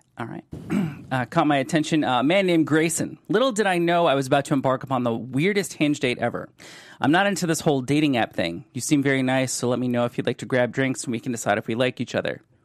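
A man with an American accent talks at a very fast pace in a fairly high voice, with ordinary pitch variation. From US Midwest (Cleveland, Ohio). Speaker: podcast host. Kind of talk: casual interview chat. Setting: studio. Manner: animated.

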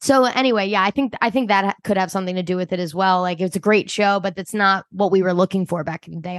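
In a Philadelphia accent, a woman talks at a very fast pace with a medium pitch and ordinary pitch variation, in a dry, close sound with no echo against a quiet background. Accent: Philadelphia-area. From US, Delaware County, Pennsylvania. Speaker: podcast co-host. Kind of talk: casual chat.

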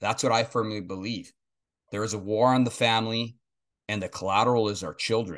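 An ordinary speaking voice talks at a fairly quick pace with fairly even intonation. The background is quiet. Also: man. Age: 40s. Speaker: podcast host and pastor. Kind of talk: interview.

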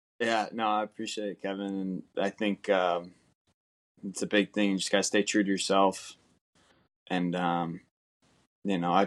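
The speaker has an American accent and talks at a moderate pace. The sound is dry and close with no echo, on a very clean recording with a silent background. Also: man. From Southern California. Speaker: professional baseball player. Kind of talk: interview. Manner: halting.

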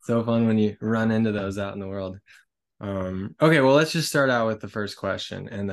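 In an unremarkable speaking voice, a man with an American accent talks at a fairly low pitch with ordinary pitch variation against a quiet background. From US, Colorado. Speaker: podcast host and visual artist. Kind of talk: scripted intro/outro; podcast interview.

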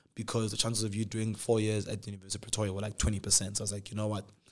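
A man's fairly low voice at a very fast pace, on a very clean recording with a silent background. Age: 20s. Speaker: YouTube podcast host. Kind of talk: casual chat. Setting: studio. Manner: animated.

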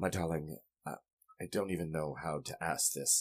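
A man puts on a raspy character voice with a very deep, low pitch. He delivers it at a moderate pace. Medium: actual play. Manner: affectionate, earnest.

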